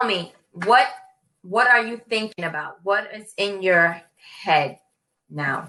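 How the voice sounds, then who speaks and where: Using a New York accent, a woman speaks at a very slow pace with long, frequent pauses, medium pitch, lively intonation and big swings in loudness. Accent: New York American. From New York City. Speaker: online English tutor. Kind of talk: casual conversation lesson.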